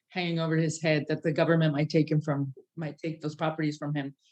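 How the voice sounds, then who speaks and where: A woman's very deep, low-pitched voice. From Mexico. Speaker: drug awareness program chair. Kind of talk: interview. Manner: halting, many fillers.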